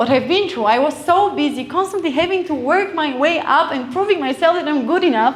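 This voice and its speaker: A woman speaks with an Eastern European accent and lively intonation. Audible room echo and noticeable background noise surround her voice. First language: Eastern European language. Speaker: event speaker. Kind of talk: motivational talk.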